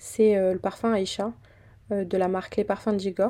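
At a moderate pace, a woman talks in a medium pitch with a dark, mellow tone on a very clean recording with a silent background. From southern France (Fréjus). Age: 20s. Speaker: podcaster. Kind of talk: casual monologue. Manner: casual, conversational.

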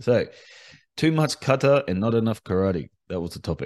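A man with an Australian accent, medium pitch, moderate pace and lively intonation, in a dry, close sound with no echo. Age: 40s. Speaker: karate instructor. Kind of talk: solo podcast monologue. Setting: home recording.

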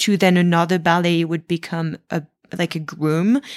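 A woman speaks in a French accent at a fairly low pitch, her intonation monotone and flat. The sound is dry and close with no echo, on a very clean recording with a silent background. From France. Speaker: professional dancer. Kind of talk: interview.

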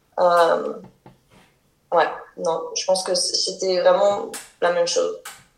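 A woman speaks at a very slow pace. Room echo can be heard. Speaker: French expatriate. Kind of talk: casual interview. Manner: halting.

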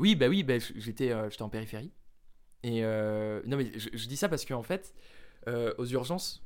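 A plain, everyday voice, a man's at medium pitch, with lively intonation at a moderate pace on a very clean recording with a silent background. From France, Jura. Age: 20s. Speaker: medical student. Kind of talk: casual chat.

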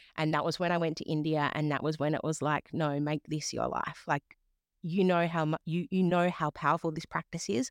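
A woman with an Australian accent, a very deep, low pitch, and monotone, flat intonation at a fairly quick pace, in a dry, close sound with no echo on a very clean recording with a silent background. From Western Australia. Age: 30s. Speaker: yoga teacher and life coach. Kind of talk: interview. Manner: reflective, hesitant with fillers.

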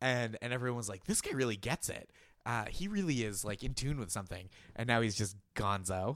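A man with a normal speaking voice at medium pitch and a fairly quick pace, in a very clean recording with a silent background. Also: lively intonation. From Boston area. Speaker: comedy writer. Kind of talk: casual chat.

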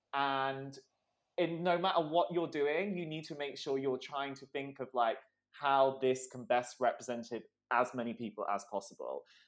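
Against a quiet background, a man with an ordinary speaking voice and a fairly high pitch talks at a moderate pace, with ordinary pitch variation and big swings in loudness. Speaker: magazine entertainment editor. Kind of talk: casual chat.

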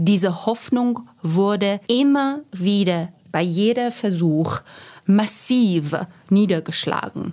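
In a Persian accent, a woman talks at a very slow pace with a medium pitch and lively intonation. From Iran. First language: Persian (speaking German). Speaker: academic and activist. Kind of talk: panel discussion.

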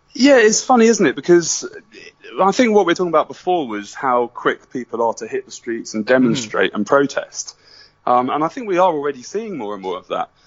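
With a British accent, a man talks at a high pitch, with very wide pitch swings and big swings in loudness. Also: fairly quick pace. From Britain. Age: 30s. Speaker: documentary filmmaker. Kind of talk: interview.

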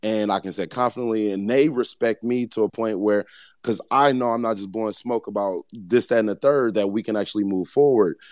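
With an American accent and an ordinary speaking voice, a man speaks at a medium pitch and a fairly quick pace, his intonation fairly even, in a dry, close sound with no echo over a quiet background. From US Midwest, Missouri. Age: 30s. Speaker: artist and creative founder. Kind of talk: casual interview chat. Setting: online audio space. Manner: relaxed, slangy.

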